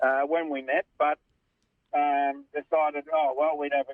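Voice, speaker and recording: The intonation stays flat and monotone. The speaker has an Australian accent. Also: man. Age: 60s. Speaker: caller. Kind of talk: casual chat.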